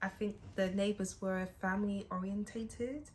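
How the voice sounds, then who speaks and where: The speaker talks at a fairly slow pace with a British accent. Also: woman. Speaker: music student and artist. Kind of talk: casual interview.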